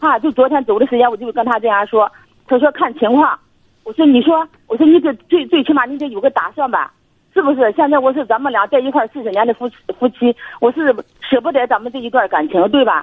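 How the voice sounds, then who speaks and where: High-pitched and very fast, a woman's voice moves with ordinary pitch variation. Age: 60s. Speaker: caller, retiree. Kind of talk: casual chat.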